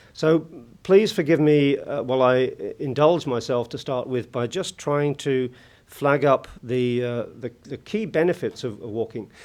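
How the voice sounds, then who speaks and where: Someone speaks with a British accent at a fairly slow pace over a quiet background. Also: man, fairly high pitch for a man, ordinary pitch variation. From UK. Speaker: conference keynote speaker. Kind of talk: conference speech. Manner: hesitant, many fillers.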